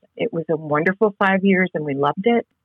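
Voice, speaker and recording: A woman with an American accent, a normal speaking voice, medium pitch and ordinary pitch variation. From New England (Connecticut). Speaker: seminary professor and author. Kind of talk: interview.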